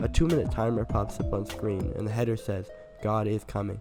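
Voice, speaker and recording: A man speaks in a fairly low voice. Music plays in the background. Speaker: game reviewer. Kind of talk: scripted video game review voiceover.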